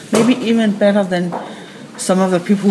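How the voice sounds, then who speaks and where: A woman with a Danish accent at a fairly quick pace, fairly even intonation and noticeable background noise. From Denmark. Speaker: crime novelist. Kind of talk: radio interview.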